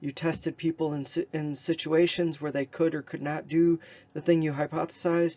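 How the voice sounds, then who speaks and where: Fairly quick speech from a man with a fairly high pitch and monotone, flat intonation. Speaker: statistics professor. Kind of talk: lecture. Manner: fast.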